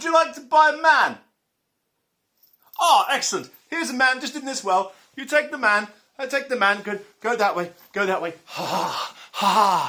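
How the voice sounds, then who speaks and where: A high-pitched, cackling put-on character voice moves at a moderate pace with long, frequent pauses. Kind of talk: comic overacting. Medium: comedy sketch. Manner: gleeful, cackling.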